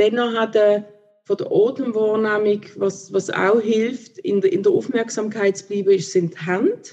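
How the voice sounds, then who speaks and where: The woman talks in a dark, mellow tone at a fairly high pitch. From Switzerland, Basel. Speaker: theologian and contemplation teacher. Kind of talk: interview. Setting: video call.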